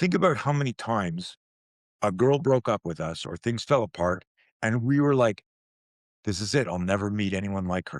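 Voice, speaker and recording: An animated man with a fairly low pitch and lively intonation, at a moderate pace broken by long, frequent pauses, dry and close with no echo, on a very clean recording with a silent background. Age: 60s. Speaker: self-defense and fear management expert. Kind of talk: interview conversation. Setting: podcast interview.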